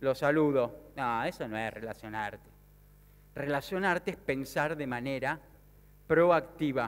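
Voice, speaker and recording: With an Argentine accent, the speaker talks at a very slow pace with ordinary pitch variation. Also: man. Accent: Rioplatense Argentine Spanish. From Argentina, Mar del Plata; Argentina. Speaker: sales speaker and business consultant. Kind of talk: motivational conference talk. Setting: stage with audience. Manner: animated. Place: stage. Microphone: headset.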